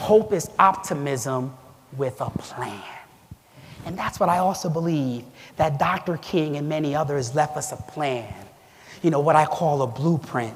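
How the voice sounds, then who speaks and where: Over noticeable background noise, a man with a fairly high pitch speaks at a fairly slow pace, with ordinary pitch variation and long, frequent pauses. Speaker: award event speaker. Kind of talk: speech.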